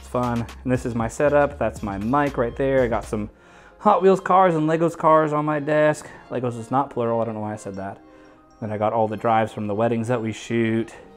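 Over faint background music, the speech runs at a fairly quick pace with big swings in loudness. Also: man. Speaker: room tour host. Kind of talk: casual vlog chat. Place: home room.

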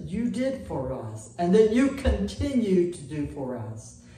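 A man speaking at a very slow pace amid audible room echo. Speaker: pastor. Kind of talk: prayer. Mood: warm, devout, grateful. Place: church.

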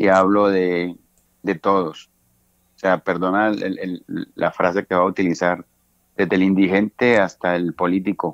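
A man's very deep, low voice in monotone, flat intonation, with long, frequent pauses and a dry, close sound with no echo. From Cali, Colombia. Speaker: bandleader and pianist. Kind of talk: interview. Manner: hesitant, many fillers.

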